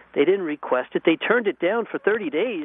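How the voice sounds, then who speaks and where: Pitch swinging very widely, a man talks at a fairly quick pace. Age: 40s. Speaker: son of a terrorism victim. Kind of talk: radio interview.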